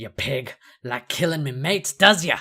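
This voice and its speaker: Shouting in a gruff, put-on character voice, a man delivers lively intonation at a fairly high pitch and a moderate pace. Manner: shouting, aggressive.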